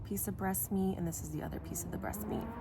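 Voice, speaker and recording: A woman speaks with ordinary pitch variation. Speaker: hunter. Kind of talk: how-to tutorial talk to camera. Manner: casual, hesitant.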